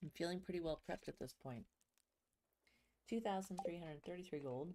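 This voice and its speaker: Quiet and fairly quick, a woman speaks in a dark, mellow tone. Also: fairly low pitch for a woman, ordinary pitch variation. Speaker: video game streamer. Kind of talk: casual gameplay livestream commentary. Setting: home livestream. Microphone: ASMR mic, sitting a bit away so sounds quiet.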